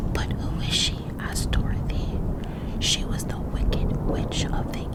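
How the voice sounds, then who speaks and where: A woman whispers at a very slow pace. There is noticeable background noise behind her. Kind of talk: ASMR story reading. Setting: thunderstorm sounds in background. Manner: whispered.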